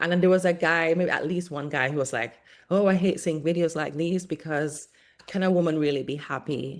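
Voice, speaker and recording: A woman's very deep, low voice at a moderate pace on a very clean recording with a silent background. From Caribbean (Montserrat). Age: 40s. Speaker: content creator. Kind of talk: casual chat. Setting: podcast interview.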